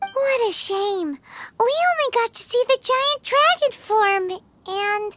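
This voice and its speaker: The speaker uses a put-on character voice, squeaky and extremely high in pitch, at a fairly slow pace. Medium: video game. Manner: chatty, casual.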